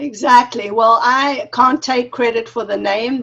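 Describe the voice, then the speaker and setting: Speaking at a fairly slow pace, the woman has a fairly high pitch and a slight South African accent. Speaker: wellness consultant. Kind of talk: interview.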